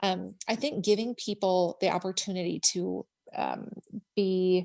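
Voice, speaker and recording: In a Minnesota accent, a woman speaks at medium pitch with a dark, mellow tone. Her pace is fairly slow and her intonation fairly even. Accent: Minnesota accent, strong O sounds. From Minnesota, US. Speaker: government educator and social media creator. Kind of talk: interview. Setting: podcast interview. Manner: filler-heavy, conversational.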